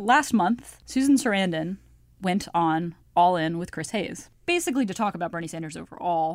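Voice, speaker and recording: A woman speaks at a medium pitch with lively intonation and a moderate pace, in an ordinary speaking voice. The recording is very clean, with a silent background. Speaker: political journalist guest. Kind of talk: casual chat.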